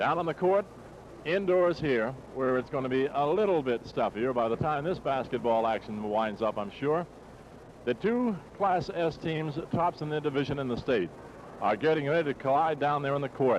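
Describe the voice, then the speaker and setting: A man with an American accent in an ordinary speaking voice, fairly high in pitch, with lively intonation at a moderate pace. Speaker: radio sports broadcaster. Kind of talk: live radio play-by-play basketball commentary. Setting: live radio broadcast from a gymnasium.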